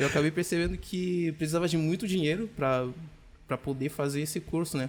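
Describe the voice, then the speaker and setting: An ordinary speaking voice moves at a fairly quick pace with very even loudness and ordinary pitch variation. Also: man, fairly high pitch for a man. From DR Congo, Kinshasa. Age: 20s. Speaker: software developer. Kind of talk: podcast interview.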